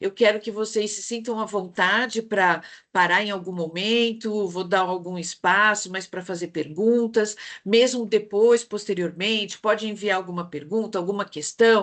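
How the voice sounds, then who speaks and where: Against a quiet background, a woman speaks at a fairly slow pace with a medium pitch and fairly even intonation. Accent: São Paulo. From São Paulo, Brazil. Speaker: psychologist and speaker. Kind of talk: online talk to professional group. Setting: video call.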